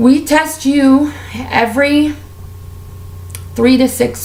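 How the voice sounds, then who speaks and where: Audible room echo and noticeable background noise around a woman's speech. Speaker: beauty and lifestyle vlogger. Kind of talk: casual vlog monologue. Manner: animated.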